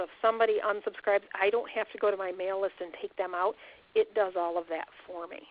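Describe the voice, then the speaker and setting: A woman with an unremarkable speaking voice speaks at a fairly quick pace and medium pitch, with fairly even intonation. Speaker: webinar presenter. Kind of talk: webinar tutorial.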